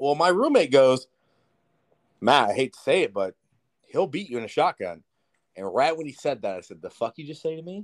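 Speaking with an American accent at a fairly quick pace, a man with a fairly high voice makes very wide pitch swings and big swings in loudness, leaving long, frequent pauses, in a dry, close sound with no echo. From Southern California. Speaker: podcast co-host, forklift driver. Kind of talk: casual chat while drinking beer.

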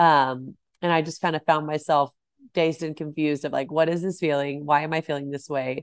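A woman talks at a fairly quick pace in a very deep, low pitch, with an American accent and monotone, flat intonation. The sound is dry and close, with no echo. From Texas, north of Dallas. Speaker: cookbook author and food blogger. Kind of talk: casual interview.

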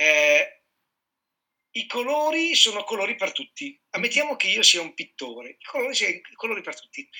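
In a raised, projected voice, a man talks at a moderate pace and a high pitch, using very wide pitch swings. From Piedmont, Italy (Sardinian parents). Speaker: chef and culinary trainer. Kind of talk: casual chat.

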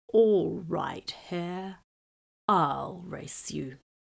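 Using a put-on character voice, a woman sounds raspy at a fairly low pitch. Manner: slow, ponderous.

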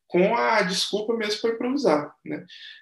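This man talks with ordinary pitch variation. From Brazil, Betim (Minas Gerais). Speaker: saxophonist and composer. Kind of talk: interview. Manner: hesitant, many fillers and repetitions.

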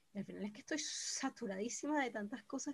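A somewhat breathy woman's voice, fairly high in pitch, at a very fast pace. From Venezuela, Caracas. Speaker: podcast co-host. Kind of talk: casual chat. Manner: animated.

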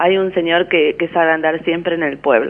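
Noticeable background noise beneath a woman's voice, pitched fairly low. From Argentina, German colony near Villa Ocampo area (Román). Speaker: caller. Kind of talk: phone-in reminiscence. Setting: phone call.

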